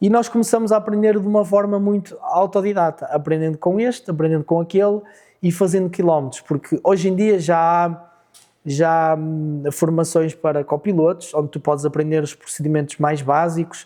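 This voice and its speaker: Here a man with a high pitch and a dark, mellow tone talks at a moderate pace. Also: ordinary pitch variation. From Portugal, Fafe. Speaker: rally co-driver. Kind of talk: interview.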